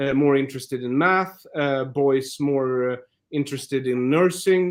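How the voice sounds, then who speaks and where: Ordinary pitch variation runs through this voice. It belongs to a man. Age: 40s. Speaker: comedian. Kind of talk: interview conversation. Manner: halting, many fillers.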